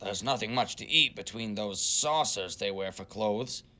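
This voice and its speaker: Growling at a medium pitch, a man performs a put-on character voice. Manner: roaring, growling.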